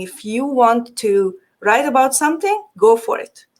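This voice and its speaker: The speaker is a woman with a Hungarian accent. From Transylvania, Romania (Hungarian community). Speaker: digital marketing agency owner. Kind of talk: podcast interview.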